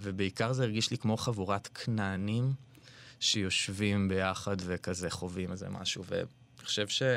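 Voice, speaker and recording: A plain, everyday voice from a man, fairly low in pitch, at a moderate pace with fairly even intonation, on a very clean recording with a silent background. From Israel, Ra'anana. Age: 30s. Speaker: artist. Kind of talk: interview conversation. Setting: studio.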